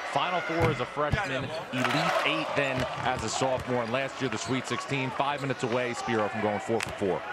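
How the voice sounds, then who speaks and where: Noticeable background noise sits under a man of medium pitch who speaks at a fairly quick pace with hardly any pauses. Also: ordinary pitch variation. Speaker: sideline reporter. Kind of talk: live sports commentary, sideline report. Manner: brisk, informative.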